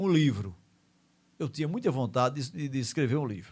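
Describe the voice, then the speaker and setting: The recording is very clean, with a silent background. A man speaks with a fairly high pitch and a somewhat breathy voice. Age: 60s. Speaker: radio host. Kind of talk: casual radio monologue. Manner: conversational, with fillers like né.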